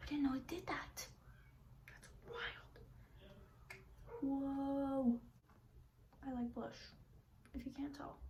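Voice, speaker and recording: A woman with a high-pitched voice speaks at a very slow pace, with ordinary pitch variation, big swings in loudness, long and frequent pauses, and audible room echo. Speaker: beauty vlogger. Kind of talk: makeup tutorial chat. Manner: whispering.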